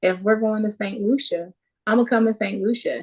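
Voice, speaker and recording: A soft-spoken woman is talking. Her intonation stays fairly even. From Jamaica. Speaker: charity founder. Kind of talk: interview.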